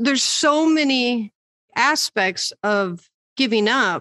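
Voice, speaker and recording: In an American accent, a woman speaks with a high pitch, a bright, sharp tone and lively intonation, recorded dry and close with no echo. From Michigan. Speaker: podcast co-host. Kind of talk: casual chat.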